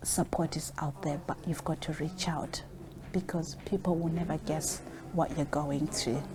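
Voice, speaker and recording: A woman's very deep, low voice with a dark, mellow tone, vocal fry, monotone, flat intonation and a fairly slow pace. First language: not English. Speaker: social worker. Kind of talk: interview.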